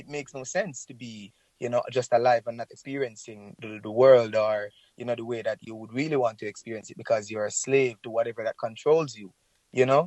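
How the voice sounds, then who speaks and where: Speaking fairly quickly with a Jamaican accent, the man has a medium pitch, fairly even intonation and big swings in loudness. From Jamaica, rural St. Elizabeth. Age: 30s. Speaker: reggae singer. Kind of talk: interview. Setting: phone call.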